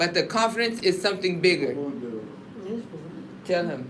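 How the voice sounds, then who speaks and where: Noticeable background noise surrounds a speaker with an American accent. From California. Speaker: entrepreneur. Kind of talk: business meeting.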